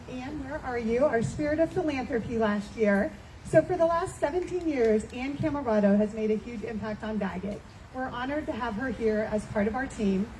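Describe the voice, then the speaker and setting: Loud and lively, a woman talks at a moderate pace in a high pitch over noticeable background noise. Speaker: charity director presenting at event. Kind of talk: event speech to audience. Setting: in-person event with audience.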